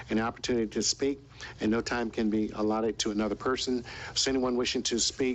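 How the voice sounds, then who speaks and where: The speech runs at a very fast pace in a monotone, flat intonation, its loudness very even. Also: man, medium pitch for a man. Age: old. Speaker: meeting chair, city official. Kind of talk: chairing a public meeting. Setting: city commission meeting. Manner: formal.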